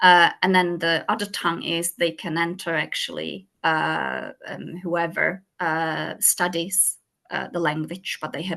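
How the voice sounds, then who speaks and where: A woman with a Czech accent at a moderate pace. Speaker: school language support lead. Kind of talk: presentation and Q&A in online meeting. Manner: halting, many fillers.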